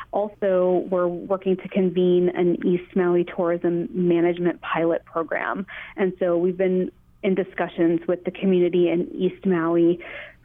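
Using a normal speaking voice, a woman talks at a fairly slow pace with a fairly low pitch and fairly even intonation. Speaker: tourism destination manager. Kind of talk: interview.

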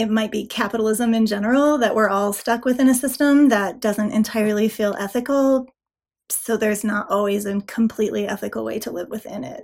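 Her pitch is fairly high for a woman, and her intonation stays fairly even. It is a normal speaking voice, moving at a fairly quick pace. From Nevada. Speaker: author. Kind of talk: interview. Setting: video call.

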